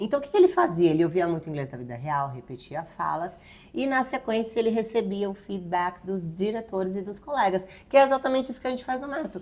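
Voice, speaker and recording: The delivery is very fast, with very wide pitch swings. Loudness also swings a lot. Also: woman, medium pitch for a woman. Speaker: English teacher, YouTube host. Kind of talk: casual educational chat.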